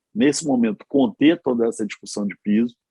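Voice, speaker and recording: The voice has a dark, mellow tone and lively intonation. The sound is dry and close, with no echo. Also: man. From Rio de Janeiro, Brazil. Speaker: politician and physician. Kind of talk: panel discussion. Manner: animated.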